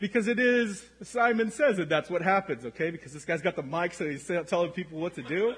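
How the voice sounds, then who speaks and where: A man speaks in a high pitch at a fairly quick pace, with hardly any pauses, lively intonation and an animated tone. Noticeable background noise runs behind him. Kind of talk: sermon, preacher in full flow, calling for congregational amens. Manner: animated, rhythmic and repetitive, exhorting the congregation.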